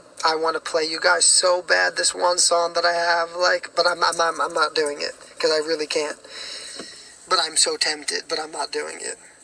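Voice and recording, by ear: A man with a fairly high pitch speaks at a moderate pace in a monotone, flat intonation, his bright, sharp tone raspy and hoarse with vocal fry.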